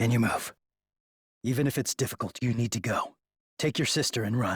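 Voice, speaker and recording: A man does a put-on character voice in a deadpan tone at medium pitch and a fairly quick pace, in a very clean recording with a silent background. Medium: video game. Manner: terse, deadpan.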